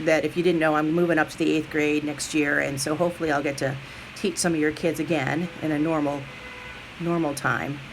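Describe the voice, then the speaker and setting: A woman speaks at a fairly quick pace in a very deep, low voice, her intonation monotone and flat, with noticeable background noise. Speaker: middle school teacher. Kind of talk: recorded message to parents. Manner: fast.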